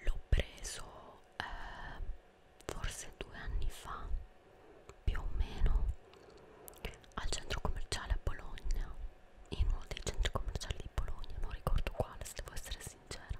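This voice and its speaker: A woman whispers at a fairly slow pace with long, frequent pauses. Noticeable background noise is present. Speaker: ASMR creator. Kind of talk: soft-spoken ASMR show and tell. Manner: close-mic ASMR whisper. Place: home room. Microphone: studio mic.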